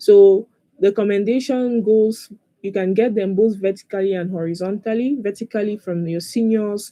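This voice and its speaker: In a medium-pitched voice with a dark, mellow tone, a woman speaks with fairly even intonation. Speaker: LinkedIn optimization coach. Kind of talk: webinar presentation. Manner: fast.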